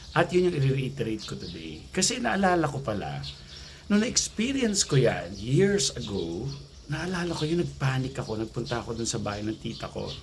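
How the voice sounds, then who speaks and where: A soft-spoken man talks at a fairly quick pace. Noticeable background noise runs behind him. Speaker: anxiety coach vlogger. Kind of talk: casual vlog talk. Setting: outdoors near gate by road.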